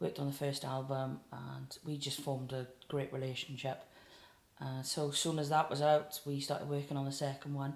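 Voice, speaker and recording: In a South Wales accent, a woman with a very deep, low pitch talks at a fairly quick pace in a monotone, flat intonation. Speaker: singer-songwriter. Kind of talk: casual interview chat.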